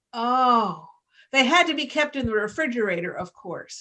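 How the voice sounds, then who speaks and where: A woman with an American accent speaks at a fairly slow pace in a high pitch, her tone bright and sharp and her intonation lively. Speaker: storyteller. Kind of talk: personal story told to a live audience.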